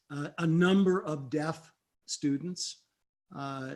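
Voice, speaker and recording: This man has an unremarkable speaking voice pitched fairly high. His intonation stays fairly even. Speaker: remote viewing instructor. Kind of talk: Q&A lecture.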